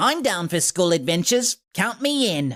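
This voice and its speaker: In a put-on character voice of middle pitch, the speaker moves at a moderate pace with very wide pitch swings. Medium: read story. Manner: smug, bizarrely certain.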